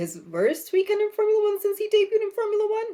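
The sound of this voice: A woman in a squeaky put-on character voice talks at a very fast pace with an extremely high pitch and monotone, flat intonation.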